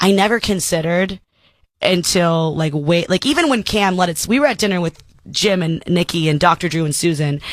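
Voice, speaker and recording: Ordinary pitch variation marks a woman's fairly quick speech. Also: fairly low pitch for a woman, very clean recording, silent background. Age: 30s. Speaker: comedian. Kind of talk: casual chat.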